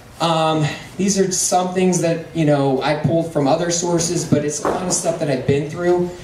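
With audible room echo and light background noise, a man speaks at a high pitch. His pace is fairly quick and his intonation fairly even. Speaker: presenter. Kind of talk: presentation talk. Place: hall.

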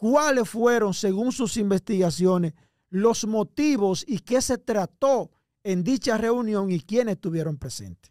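A man at high pitch with lively intonation and a fairly slow pace, dry and close with no echo, on a very clean recording with a silent background. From Dominican Republic, Cibao region. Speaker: online show host. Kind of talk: interview. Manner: heated.

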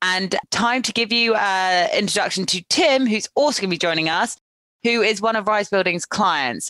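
Dry and close with no echo, over a quiet background, a woman speaks at a medium pitch and moderate pace with a bright, sharp tone and very even loudness. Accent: English. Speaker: podcast host and recruiter. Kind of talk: interview.

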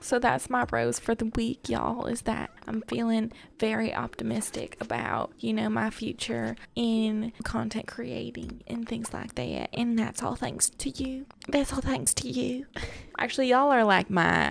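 In a put-on Southern US accent character voice, a woman sounds raspy at a moderate pace over light background noise. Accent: southern-style, y'all. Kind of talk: casual let's play chat. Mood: warm, optimistic, grateful.

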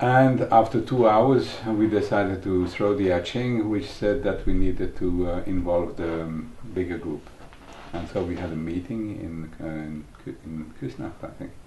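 Audible room echo and light background noise surround a man with a very deep, low pitch and big swings in loudness. He talks at a fairly slow pace with ordinary pitch variation. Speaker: early member of a psychology training school. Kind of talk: documentary interview. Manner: halting. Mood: warm, reminiscing.

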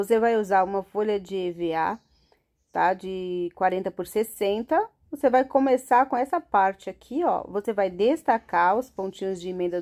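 A woman's dark, mellow tone at a moderate pace with ordinary pitch variation, over a quiet background. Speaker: craft teacher. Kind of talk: tutorial. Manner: animated.

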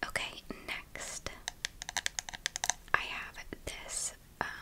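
A woman is whispering. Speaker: ASMR creator. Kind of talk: ASMR trigger video. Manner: whispered. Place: home room. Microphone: studio mic.

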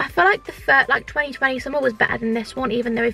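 A woman's raised, projected voice at a very fast pace, dry with no echo, over light background noise. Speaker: vlogger. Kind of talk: casual vlog chat. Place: car.

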